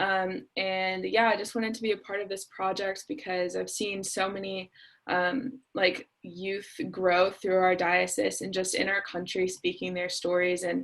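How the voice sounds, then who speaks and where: In a plain, everyday voice, a woman of medium pitch with an American accent speaks with fairly even intonation and hardly any pauses. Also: fairly slow pace. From Cincinnati, Ohio, US Midwest. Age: 20s. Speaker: college student, youth event organizer. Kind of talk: casual self-introduction.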